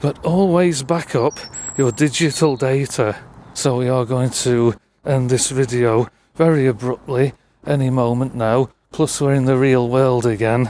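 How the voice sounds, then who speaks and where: A man with a Lancashire accent at a medium pitch and a fairly slow pace, with fairly even intonation and very even loudness. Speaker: urban explorer vlogger. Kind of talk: vlog narration.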